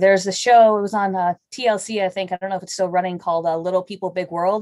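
A woman's very fast, medium-pitched voice with an American accent, hardly any pauses and monotone, flat intonation, dry and close with no echo against a quiet background. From Chicago area. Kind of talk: casual interview chat.

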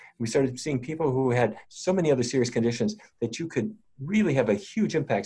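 The voice moves at a fairly quick pace with very wide pitch swings. It sounds somewhat breathy, with a dark, mellow tone. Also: man. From North Dakota. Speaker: physician and researcher. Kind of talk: interview.

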